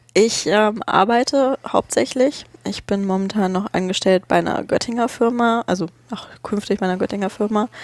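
In a very clean recording with a silent background and a dry, close sound with no echo, a woman with a normal speaking voice talks at a moderate pace and medium pitch, with ordinary pitch variation and hardly any pauses. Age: 20s. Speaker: podcaster. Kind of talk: casual chat. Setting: studio.

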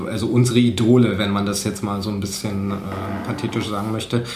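A man's fairly low, monotone, flat voice amid noticeable background noise and audible room echo. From eastern Germany, Cottbus. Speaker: photojournalist and podcaster. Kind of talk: casual interview. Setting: home kitchen. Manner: hesitant, many filler sounds.

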